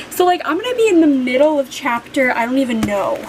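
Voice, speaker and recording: Over noticeable background noise, a woman talks very fast in a high pitch with lively intonation. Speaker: book vlogger. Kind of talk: casual vlog talk. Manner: animated.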